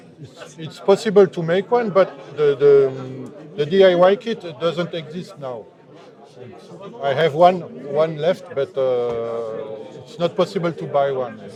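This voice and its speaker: Speaking in a French accent at a fairly slow pace, the voice has lively intonation and big swings in loudness. Noticeable background noise sits behind it. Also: man, fairly high pitch for a man. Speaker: synthesizer maker. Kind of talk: interview. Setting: trade fair booth. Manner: halting.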